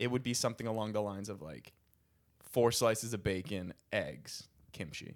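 A man speaks with an American accent at a moderate pace, his pitch fairly low with ordinary pitch variation. The recording is very clean, with a silent background. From US Northeast, Philadelphia. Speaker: stand-up comedian. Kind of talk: casual chat. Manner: animated.

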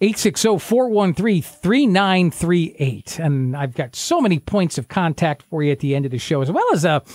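Fairly high for a man and full of very wide pitch swings, his voice moves at a moderate pace with a dry, close sound with no echo. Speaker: radio show co-host. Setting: radio show studio. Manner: warm, chatty, upbeat, easygoing.

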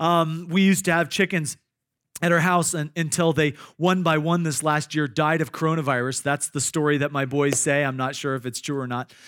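A man with a Midwestern American accent, fairly high in pitch, at a fairly quick pace with fairly even intonation. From Iowa. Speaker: pastor. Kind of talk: sermon. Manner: halting, frequent repetitions and fillers.

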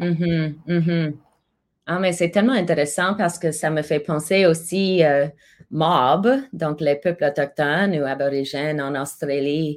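At a fairly slow pace, a woman with a very deep, low pitch speaks with fairly even intonation in a very clean recording with a silent background. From Alberta, Canada (Calgary). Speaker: multidisciplinary artist and singer. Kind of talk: interview.

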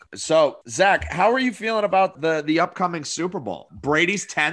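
With a New Hampshire accent, a man talks in a high pitch with lively intonation. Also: moderate pace. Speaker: podcast co-host.

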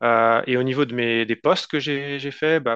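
A man of medium pitch talks at a fairly slow pace with fairly even intonation against a quiet background. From France. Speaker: tech entrepreneur. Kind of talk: interview. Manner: halting.

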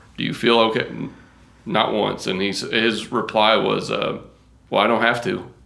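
This man has a medium pitch, an American accent and a bright, sharp tone with vocal fry. He keeps a moderate pace and fairly even intonation, with long, frequent pauses. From Kentucky, rural farming community. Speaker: golf course turf professional. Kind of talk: casual interview chat.

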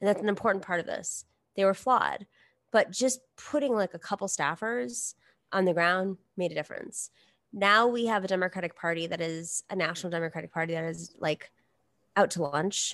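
An unremarkable speaking voice from a woman at medium pitch, ordinary pitch variation, and a fairly quick pace, with a dry, close sound, no echo, and a quiet background. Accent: American. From New York. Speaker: political commentator. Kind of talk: casual chat.

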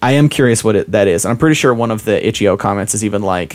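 Talking at a very fast pace with an American accent, a man uses ordinary pitch variation. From Utah. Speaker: podcast guest, gamer friend. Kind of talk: casual chat.

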